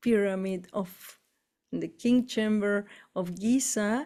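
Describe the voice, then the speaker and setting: Speaking with an Argentine accent, a woman has a medium pitch and a dark, mellow tone. Her intonation is monotone and flat. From Argentina. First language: Spanish. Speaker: spiritual tour leader. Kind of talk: casual chat. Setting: live stream.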